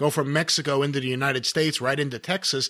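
A normal speaking voice moves at a fairly quick pace in a very clean recording with a silent background. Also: man. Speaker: wrestling podcast host. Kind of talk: interview.

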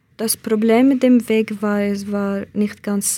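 Spoken very slowly with a Kurdish accent, the voice has a dark, mellow tone and a monotone, flat intonation. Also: woman. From Iraqi Kurdistan. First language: Kurdish (speaking German). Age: 20s. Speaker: asylum seeker. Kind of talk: interview testimony. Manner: hesitant, with fillers.

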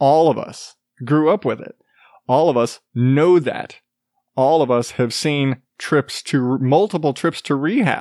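An unremarkable speaking voice at a fairly slow pace, with ordinary pitch variation and a dry, close sound without echo against a quiet background. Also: man, fairly high pitch for a man. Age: 30s. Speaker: podcast host. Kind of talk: casual monologue. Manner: profane, rambling.

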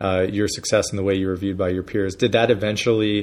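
A man with a Pennsylvania accent talks very fast at a fairly low pitch. His intonation is monotone and flat, and the background is quiet. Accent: Pennsylvania, northern US. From Erie, Pennsylvania. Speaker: interviewer. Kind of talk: interview conversation. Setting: in San Francisco, in person. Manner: halting, with many fillers.

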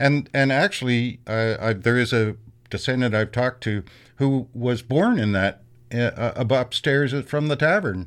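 A man with a Canadian accent talks at a moderate pace and medium pitch in an unremarkable speaking voice, with ordinary pitch variation, very even loudness and a quiet background. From Canada, Kingston area, Ontario. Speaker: PhD student in history. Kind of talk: interview.

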